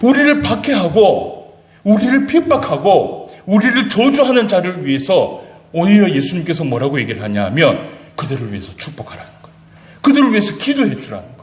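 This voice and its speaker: Audible room echo surrounds a man with a high pitch who speaks at a fairly quick pace, with very wide pitch swings and big swings in loudness. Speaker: pastor. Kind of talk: sermon. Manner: fast.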